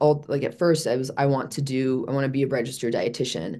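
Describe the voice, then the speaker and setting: A woman with an American accent speaks in a very deep, low pitch with ordinary pitch variation over a quiet background. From US Midwest, Chicago. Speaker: fitness and wellness coach. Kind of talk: interview, personal life story. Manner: halting, many fillers and restarts.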